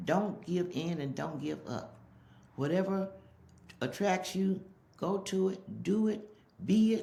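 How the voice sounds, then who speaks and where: Somewhat breathy with a dark, mellow tone, a woman speaks at a medium pitch and a very slow pace with long, frequent pauses and ordinary pitch variation, in audible room echo. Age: old. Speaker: interviewee, mother. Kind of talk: casual interview.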